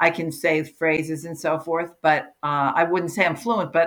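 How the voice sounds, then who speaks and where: A plain, everyday voice at a fairly slow pace. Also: woman. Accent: American. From US Northeast, New Jersey (Livingston). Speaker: career coach and author. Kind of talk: interview.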